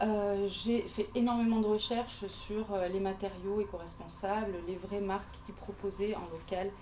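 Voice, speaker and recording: A woman at medium pitch, monotone and flat, at a fairly slow pace with hardly any pauses, over noticeable background noise. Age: 40s. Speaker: interior decorator. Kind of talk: pitch presentation at networking event. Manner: halting, many hesitations.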